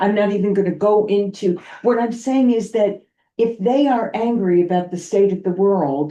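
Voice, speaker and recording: A dark, mellow tone with ordinary pitch variation and very even loudness. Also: woman, medium pitch for a woman, moderate pace. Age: 70s. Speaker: guest speaker on parenting and diversity. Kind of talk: public meeting discussion. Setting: town committee meeting.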